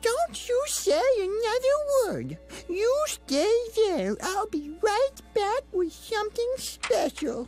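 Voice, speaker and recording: A put-on character voice that sounds female speaks very slowly at an extremely high pitch, with clear music in the background. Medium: machinima. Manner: syrupy, motherly, controlling.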